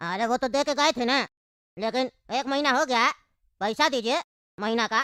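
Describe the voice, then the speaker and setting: A cartoonish character voice at a fairly quick pace, broken by long, frequent pauses, on a very clean recording with a silent background. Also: woman, high pitch for a woman. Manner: brusque, quick to insult.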